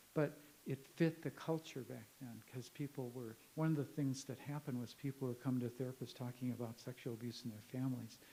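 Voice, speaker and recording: A man's medium-pitched, somewhat breathy voice with a dark, mellow tone, in a Midwestern American accent, with hardly any pauses. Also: fairly even intonation. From US Midwest, northern Illinois. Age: 70s. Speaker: professor. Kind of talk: conference talk with audience Q&A. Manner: conversational, halting.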